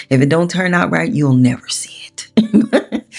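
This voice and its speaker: A woman with a fairly low pitch talks at a fairly slow pace with lively intonation in a normal speaking voice. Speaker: art tutorial creator. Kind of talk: tutorial. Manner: casual, chatty.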